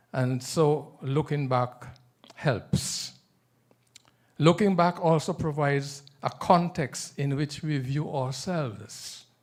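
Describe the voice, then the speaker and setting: Speaking very slowly in a Nevisian accent, a man uses a fairly high pitch with ordinary pitch variation. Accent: Caribbean (Nevisian) English. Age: 70s. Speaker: author. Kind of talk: book presentation at authors' forum. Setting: room with live audience.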